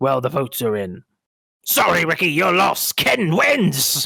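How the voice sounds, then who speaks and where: Using a put-on character voice, a man pitches himself fairly high. The voice comes out raspy. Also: moderate pace. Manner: announcing a result, playful.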